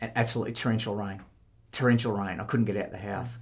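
Fairly low male voice, fairly even in intonation, with audible room echo. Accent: Australian. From southwest Victoria, Australia. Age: 50s. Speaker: mowing business owner. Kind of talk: interview. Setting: head office.

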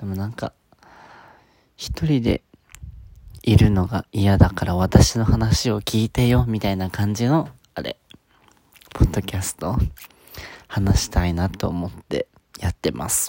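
The dark, mellow voice comes through dry and close with no echo, broken by long, frequent pauses and big swings in loudness. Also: man, fairly low pitch for a man, ordinary pitch variation, fairly slow pace. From Okinawa, Japan. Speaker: podcaster. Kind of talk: solo monologue. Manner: halting.

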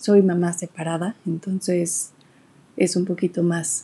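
A woman talks at a medium pitch. Her tone is dark, mellow and somewhat breathy. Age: 20s. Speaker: podcast host. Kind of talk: casual monologue. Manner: halting.

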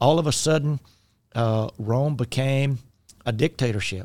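A man speaks at a fairly slow pace with a Southern US accent. His pitch is medium with ordinary variation, on a very clean recording with a silent background. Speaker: podcast host and minister. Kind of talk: casual chat about faith and podcasting. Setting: studio. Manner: self-deprecating, talkative, humorous.

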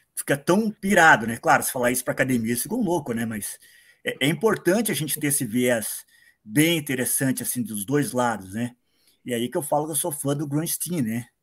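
A man talks in an ordinary speaking voice at a fairly quick pace. His pitch is fairly high, with lively intonation. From Paraná, Brazil. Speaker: listener, comics fan. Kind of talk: casual chat. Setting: video call.

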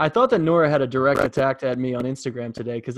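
With an American accent, a man speaks at a medium pitch with fairly even intonation. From New York. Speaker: podcast host. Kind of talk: casual chat.

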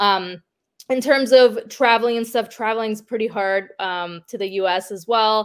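A woman with a Canadian accent speaks in a normal speaking voice at a fairly high pitch. Her pace is moderate and her intonation fairly even, on a very clean recording with a silent background. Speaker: professional wrestler. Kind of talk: interview.

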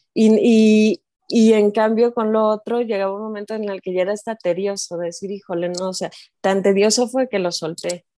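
This woman has a Mexican accent and a medium pitch. She talks at a moderate pace with fairly even intonation over a quiet background. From Mexico. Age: 40s. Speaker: life coach for mothers. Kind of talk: interview.

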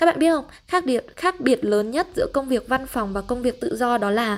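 A woman talks at a moderate pace, her voice high and her intonation lively. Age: 20s. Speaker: travel podcaster and freelance marketer. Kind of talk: solo podcast monologue.

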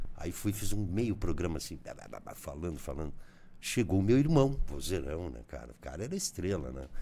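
With vocal fry and a dark, mellow tone, a man speaks in a very deep, low voice, his pitch swinging very widely and his loudness rising and falling sharply. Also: moderate pace. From southern Brazil, Rio Grande do Sul border region (Bagé). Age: 60s. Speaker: journalist and radio broadcaster. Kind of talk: casual interview.

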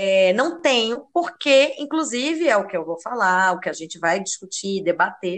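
A woman at a medium pitch and moderate pace, with very wide pitch swings. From Rio de Janeiro, Brazil (Lapa). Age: 30s. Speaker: podcast co-host. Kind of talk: casual chat.

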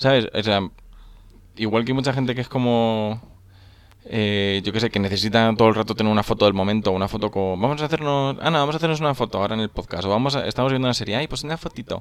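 Talking at a very fast pace, a man speaks in a medium pitch. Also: ordinary pitch variation. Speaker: podcast co-host. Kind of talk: casual chat.

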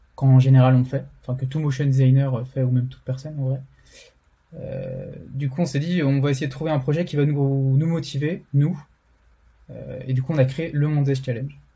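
A man's fairly high voice, dark and mellow in tone, somewhat breathy, with monotone, flat intonation. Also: moderate pace. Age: 20s. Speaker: motion designer and community co-founder. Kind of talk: interview. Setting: remote recording.

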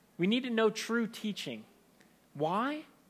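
A man's raised, projected voice, bright and sharp in tone, with lively intonation at a fairly slow pace on a very clean recording with a silent background. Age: 30s. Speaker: pastor. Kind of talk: sermon.

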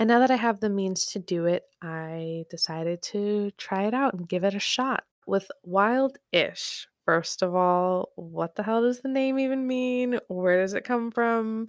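In a very clean recording with a silent background, a woman with an American accent talks at a medium pitch and with ordinary pitch variation. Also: fairly slow pace, dry, close sound with no echo. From California. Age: 20s. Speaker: podcast host. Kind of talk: casual chat. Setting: home bedroom.

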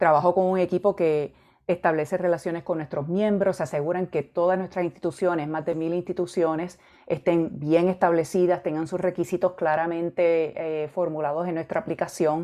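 A dark, mellow tone with monotone, flat intonation at a moderate pace against a quiet background. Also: woman, fairly low pitch for a woman. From Puerto Rico (Arecibo). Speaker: education executive, psychologist. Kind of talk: interview.

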